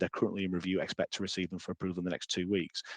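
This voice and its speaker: A man with a British accent and a fairly low pitch, speaking at a very fast pace against a quiet background. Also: dry, close sound with no echo. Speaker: software trainer. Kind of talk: webinar demonstration. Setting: online webinar.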